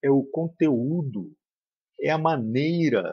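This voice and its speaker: A man's voice with lively intonation. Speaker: spiritist study leader. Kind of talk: lecture. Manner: serious.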